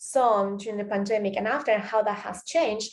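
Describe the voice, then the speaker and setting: A woman with a Spanish accent, fairly high-pitched and fairly quick, her intonation fairly even. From Spain, Catalonia (Tarragona). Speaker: podcaster, performance student. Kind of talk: reflective monologue. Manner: hesitant, many fillers.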